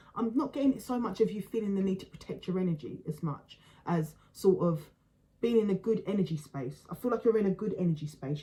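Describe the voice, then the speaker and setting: Her tone is dark and mellow, and somewhat breathy. The woman talks at a fairly quick pace. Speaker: tarot reader. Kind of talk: tarot reading. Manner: fast; halting, many fillers and repeats.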